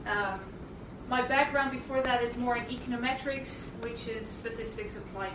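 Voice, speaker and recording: Over noticeable background noise and audible room echo, a woman with a Dutch accent speaks at a high pitch with ordinary pitch variation. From Netherlands. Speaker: university statistics lecturer. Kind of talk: academic talk.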